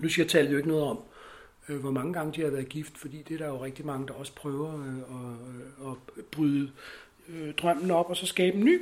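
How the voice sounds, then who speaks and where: A man speaking at a moderate pace. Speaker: lifestyle expert. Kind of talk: interview. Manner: hesitant with many fillers.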